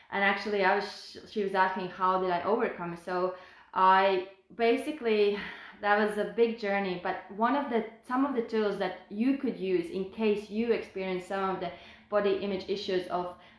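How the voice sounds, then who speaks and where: Audible room echo surrounds a woman who speaks at a moderate pace with medium pitch and fairly even intonation. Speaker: health and fitness coach. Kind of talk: personal testimony on a live stream.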